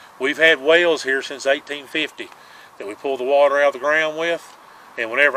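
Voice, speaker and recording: A fairly quick man with an American accent, a fairly high pitch and fairly even intonation, over noticeable background noise. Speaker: local historian and salt maker. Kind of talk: casual chat and on-site history tour. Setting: outdoors.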